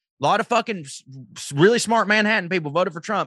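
With a Southern US accent, a man speaks in a bright, sharp tone with ordinary pitch variation, the sound dry and close with no echo. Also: quiet background. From US South. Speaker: comedian. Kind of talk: casual chat.

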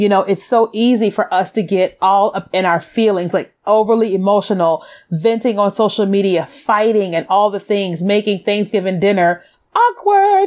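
On a very clean recording with a silent background, a woman with an unremarkable speaking voice talks at a moderate pace and medium pitch. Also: fairly even intonation. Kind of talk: faith-based motivational talk.

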